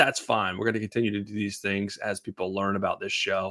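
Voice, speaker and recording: Someone with a Boston accent is heard in a very clean recording against a silent background. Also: man. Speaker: Etsy seller and business coach. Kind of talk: live show Q&A. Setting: livestream. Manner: casual, filler-heavy with stumbles.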